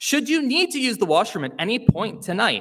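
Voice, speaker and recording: Loud and at a moderate pace, a man talks with a bright, sharp tone and very wide pitch swings. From Hamilton, Ontario, Canada. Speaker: awards show host. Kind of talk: live event hosting with comedy. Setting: stage with live audience, live-streamed. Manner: loud, projecting; animated, jokey.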